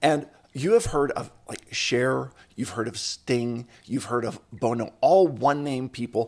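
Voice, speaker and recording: An unremarkable speaking voice talks at a fairly slow pace with ordinary pitch variation. Its loudness swings a lot. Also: man, medium pitch for a man. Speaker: podcast host. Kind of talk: podcast intro.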